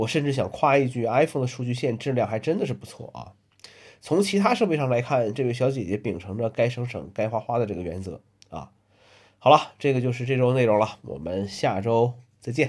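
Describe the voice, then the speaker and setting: Speaking at a fairly quick pace, a man with medium pitch uses lively intonation and vocal fry. The recording is very clean with a silent background. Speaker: solo podcaster. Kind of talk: casual weekly monologue. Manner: many filler sounds (呃, 嗯).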